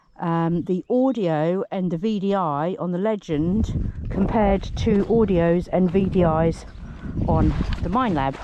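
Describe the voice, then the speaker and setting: With a British accent, a woman speaks at medium pitch in a dark, mellow tone. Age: middle-aged. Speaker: metal detectorist. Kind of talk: casual talk to camera.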